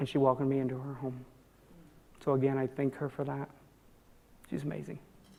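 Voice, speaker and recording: Delivered at a very fast pace yet with long, frequent pauses, the voice has a dark, mellow tone and vocal fry. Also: woman. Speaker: transgender woman giving a talk. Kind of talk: talk with audience questions.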